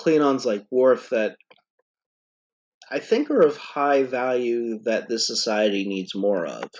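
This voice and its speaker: A man at a medium pitch, speaking at a fairly slow pace. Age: 30s. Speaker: podcast host, fantasy author. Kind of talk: casual chat. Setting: podcast recording.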